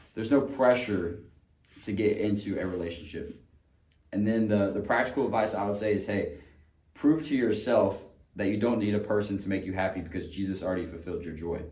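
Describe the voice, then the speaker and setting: Amid audible room echo, a man with a fairly low, dark, mellow and somewhat breathy voice speaks at a fairly quick pace with ordinary pitch variation. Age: 20s. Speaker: podcast co-host. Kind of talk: casual chat.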